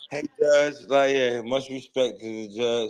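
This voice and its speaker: With monotone, flat intonation, a man speaks at a fairly slow pace. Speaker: caller. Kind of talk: casual chat. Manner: slurred, as if drunk; halting, many fillers.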